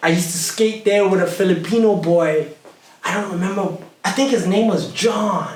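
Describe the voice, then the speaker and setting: An American-accented man at a high pitch, animated in tone, with ordinary pitch variation, a moderate pace and audible room echo. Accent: American-sounding. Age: 40s. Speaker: hip hop artist. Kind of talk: casual chat.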